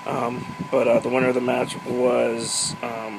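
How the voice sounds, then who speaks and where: A man at medium pitch with fairly even intonation, amid noticeable background noise and audible room echo. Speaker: wrestling recap vlogger. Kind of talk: casual solo recap monologue.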